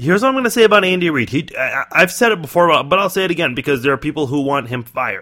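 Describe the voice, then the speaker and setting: A man with an American accent speaks at a very fast pace with hardly any pauses. His high-pitched voice has a bright, sharp tone and very wide pitch swings. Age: 20s. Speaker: sports podcast host. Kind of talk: solo sports commentary podcast.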